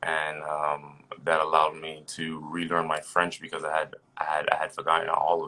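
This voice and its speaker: A man with a New Jersey accent speaks in a very deep, low voice with a bright, sharp tone and flat, monotone intonation. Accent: New Jersey American English. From New Jersey, US (born in Haiti). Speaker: personal trainer. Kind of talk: casual interview chat.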